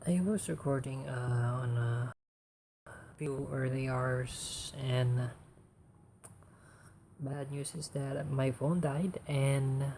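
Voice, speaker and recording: Very slow and full of long, frequent pauses, a man's somewhat breathy voice has a dark, mellow tone, a medium pitch and fairly even intonation. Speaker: vtuber artist. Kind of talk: casual livestream talk about art. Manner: monotone.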